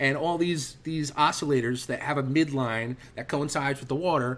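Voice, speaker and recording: This man talks at a fairly quick pace in a fairly high pitch. His pitch varies an ordinary amount. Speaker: trading instructor. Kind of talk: online trading class. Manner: fast; animated.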